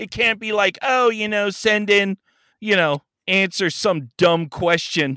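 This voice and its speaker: On a very clean recording with a silent background and a dry, close sound with no echo, a man with an American accent uses a raised, projected voice that is high-pitched, bright and sharp, with an animated tone, ordinary pitch variation and a fairly slow pace. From San Fernando Valley, California. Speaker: podcast host as guest. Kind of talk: casual chat, joking. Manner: animated, joking.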